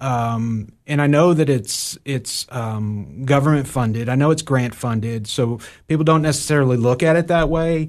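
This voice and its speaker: Against a quiet background, a man with a plain, everyday voice talks at a moderate pace and medium pitch, with ordinary pitch variation and hardly any pauses. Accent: American. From Ohio and New York. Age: 40s. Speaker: nonprofit executive director. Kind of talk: interview. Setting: studio.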